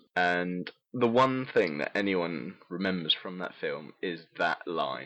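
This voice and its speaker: A man with a British accent. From United Kingdom. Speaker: podcast host. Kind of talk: casual chat.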